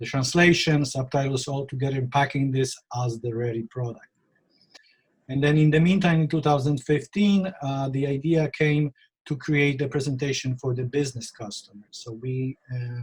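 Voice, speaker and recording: The voice is somewhat breathy, with a Polish accent. Its intonation is fairly even, at a moderate pace. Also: man. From Poland. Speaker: real estate photographer. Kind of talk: interview.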